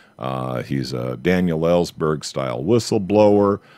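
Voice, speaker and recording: A man with an American accent makes very wide pitch swings. The sound is dry and close, with no echo. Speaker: radio talk show host. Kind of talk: talk radio monologue. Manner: hesitant, many fillers.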